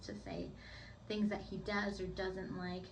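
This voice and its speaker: Audible room echo and noticeable background noise accompany a woman's voice. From United States (moved from Puerto Rico at three). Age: 20s. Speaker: beauty vlogger. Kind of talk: casual vlog tutorial. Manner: chatty, uses many fillers like 'like'.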